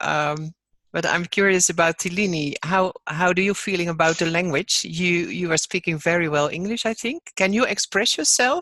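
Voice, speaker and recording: Speaking with a non-native accent, the voice has a bright, sharp tone and ordinary pitch variation, with a dry, close sound and no echo. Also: woman, fairly low pitch for a woman, moderate pace. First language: not English. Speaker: online course facilitator. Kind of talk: webinar discussion.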